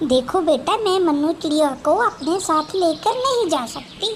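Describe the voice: Over clear background noise, a woman does a cartoonish character voice at an extremely high pitch and a fairly slow pace.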